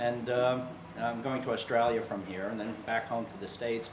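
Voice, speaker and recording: A man with an American accent speaks at medium pitch and a moderate pace, with noticeable background noise and audible room echo. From US. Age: 60s. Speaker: yoga instructor, retired firefighter. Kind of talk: interview testimony. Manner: halting, many repetitions.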